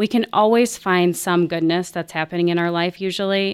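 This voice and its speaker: A woman with an unremarkable speaking voice, medium pitch, fairly even intonation and moderate pace, in a dry, close sound with no echo. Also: very clean recording, silent background. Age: 40s. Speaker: counselor. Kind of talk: casual chat.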